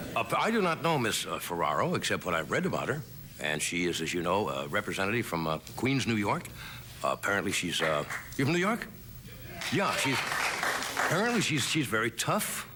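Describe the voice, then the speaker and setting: The speaker talks at a fairly quick pace with very wide pitch swings and very even loudness, against noticeable background noise. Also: man, medium pitch for a man. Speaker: late-night talk show host. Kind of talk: comedy monologue. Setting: TV studio with live audience.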